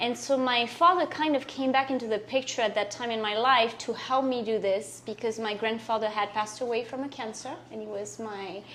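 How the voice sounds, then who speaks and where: A woman speaks fairly quickly with a French accent and hardly any pauses. Her pitch is fairly high with ordinary variation, and there is noticeable background noise. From France. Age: 40s. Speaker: guest telling her life story. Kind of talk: interview testimony.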